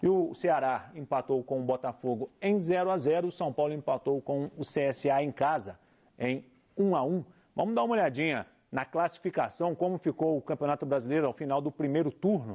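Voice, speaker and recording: Against a quiet background, a man speaks at a fairly high pitch with a dark, mellow tone. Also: ordinary pitch variation, moderate pace. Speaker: TV sports show host. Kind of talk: sports results roundup.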